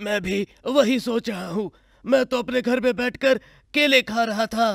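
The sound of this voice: A man uses a cartoonish character voice pitched extremely high. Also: moderate pace.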